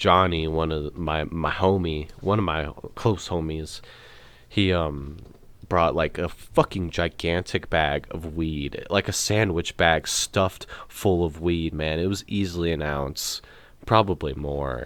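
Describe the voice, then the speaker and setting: Speaking at a fairly slow pace, a man uses a very deep, low pitch and fairly even intonation. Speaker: podcast host. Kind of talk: casual monologue about a festival trip. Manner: loud; casual, filler-heavy.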